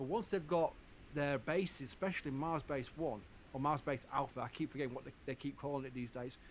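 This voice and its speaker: With a Yorkshire accent, a man talks at a fairly quick pace in a fairly high pitch with ordinary pitch variation. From Yorkshire, northern England. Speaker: livestream space channel host. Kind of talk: live stream chat. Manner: casual, halting with repetitions.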